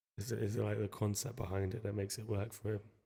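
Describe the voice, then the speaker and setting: Soft-spoken and somewhat breathy, a man talks at a moderate pace in a dark, mellow tone, his fairly low pitch held in a monotone, flat intonation. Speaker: music producer streaming a session. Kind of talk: casual chat while making music.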